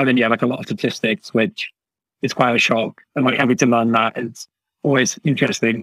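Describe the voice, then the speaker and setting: With a British accent, a man speaks at a medium pitch in a dry, close sound with no echo. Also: ordinary pitch variation, fairly quick pace. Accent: British, mistaken for Australian in Canada. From UK. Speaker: university student. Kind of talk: casual interview. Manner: halting, many fillers.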